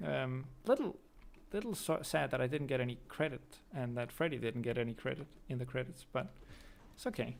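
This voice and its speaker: A man with a Danish accent speaks at a fairly quick pace, with lively intonation and vocal fry. Long, frequent pauses break up his speech. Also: medium pitch for a man. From Denmark. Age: 20s. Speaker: streamer and YouTuber. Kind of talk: casual chat. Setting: live stream. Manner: hesitant with fillers.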